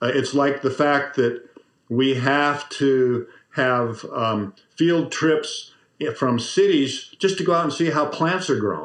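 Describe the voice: Slow, medium-pitched speech from a man, fairly bright in tone with ordinary pitch variation.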